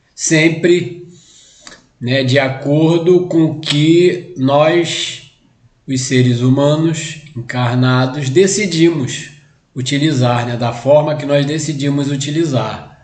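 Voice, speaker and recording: Audible room echo surrounds a man speaking at a very slow pace. His pitch is fairly high, with ordinary pitch variation. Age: 60s. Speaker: spiritist lecturer. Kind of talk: lecture. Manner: halting, many fillers.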